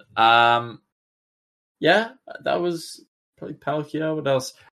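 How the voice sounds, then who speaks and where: A man speaks with an Australian accent and lively intonation. His tone is bright and sharp. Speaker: Pokemon card player. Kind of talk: casual chat. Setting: live stream.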